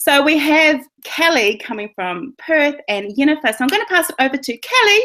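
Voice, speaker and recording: A woman speaks in a high, raised and projected voice, her pitch swinging very widely. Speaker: webinar host. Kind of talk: webinar presentation. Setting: online video webinar. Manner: animated.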